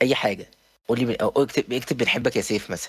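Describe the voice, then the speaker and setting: This very clean recording has a silent background. On it, a man talks at a very fast pace. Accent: Cairo. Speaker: podcast host. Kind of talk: casual chat. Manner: halting.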